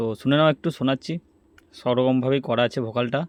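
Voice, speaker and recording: A plain, everyday voice with fairly even intonation, the sound dry and close with no echo. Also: man. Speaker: DJ and recording studio owner. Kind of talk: casual talk to camera.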